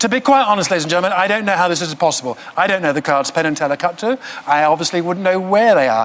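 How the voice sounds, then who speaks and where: A man's high voice in a British accent, very fast, with very wide pitch swings. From England. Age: 60s. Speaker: mentalist. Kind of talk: stage performance. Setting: stage with audience. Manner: comic, self-deprecating. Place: studio. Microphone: lapel.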